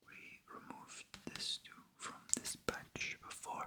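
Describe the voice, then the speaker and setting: A whisper at a very slow pace, with noticeable background noise. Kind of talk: ASMR card-game narration, solitaire play-by-play. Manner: whispered, soft.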